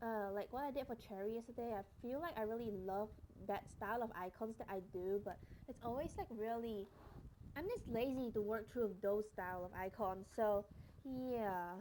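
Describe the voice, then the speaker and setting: A woman speaks in a fairly high voice with a dark, mellow tone. Her pitch varies in an ordinary way. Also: moderate pace. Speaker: streamer and artist. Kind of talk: casual chat. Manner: casual, rambling with fillers.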